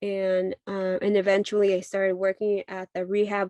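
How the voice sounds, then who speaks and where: A woman at a medium pitch with a dark, mellow tone and a fairly slow pace, in a dry, close sound with no echo. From Mexico, Jalisco. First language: Spanish. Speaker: midwife. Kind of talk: talk sharing personal story. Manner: halting, many fillers.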